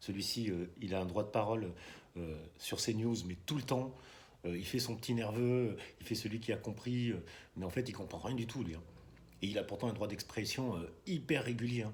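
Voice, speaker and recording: A man speaks at a moderate pace and a fairly low pitch, somewhat breathy, with ordinary pitch variation. Long, frequent pauses break his speech, and room echo is audible. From France, Bordeaux. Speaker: political video blogger. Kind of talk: casual monologue vlog. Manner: soft-spoken; halting, many hesitations.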